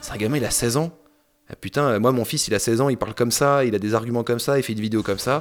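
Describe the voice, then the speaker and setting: Talking at a very fast pace, a man keeps a medium pitch with fairly even intonation. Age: 30s. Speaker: film critic. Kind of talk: casual chat.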